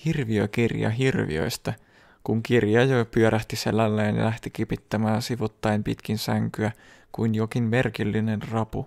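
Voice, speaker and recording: A plain, everyday voice from a man, fairly low in pitch. He talks at a fairly slow pace with fairly even intonation. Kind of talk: bedtime story reading aloud. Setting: ASMR video, close microphone. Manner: slow, soft-spoken, calm and soothing narration; even, gentle pacing with a hushed, intimate tone.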